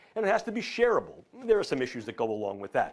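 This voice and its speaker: A man talks with a New York accent. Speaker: neuroscience professor. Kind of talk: lecture. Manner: formal.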